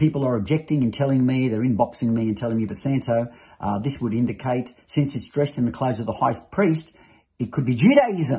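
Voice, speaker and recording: The man's voice is somewhat breathy and shows ordinary pitch variation. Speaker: religious teacher. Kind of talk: sermon-like teaching. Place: home room. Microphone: phone near.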